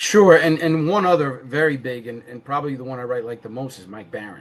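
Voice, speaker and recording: Talking at a fairly quick pace with a New York accent, a man shows ordinary pitch variation and big swings in loudness. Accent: Bronx New York. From New York City (Bronx). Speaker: comic book creator. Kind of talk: casual interview. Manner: animated; repetitive false starts.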